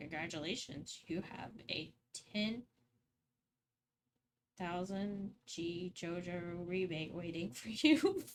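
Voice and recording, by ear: A woman at a medium pitch uses a robotic, put-on character voice, speaking at a very slow pace with long, frequent pauses.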